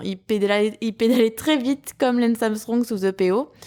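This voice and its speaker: A woman with a slight southern French accent and ordinary pitch variation, on a very clean recording with a silent background. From southern France. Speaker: podcast host. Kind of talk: personal podcast monologue. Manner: hesitant, many fillers.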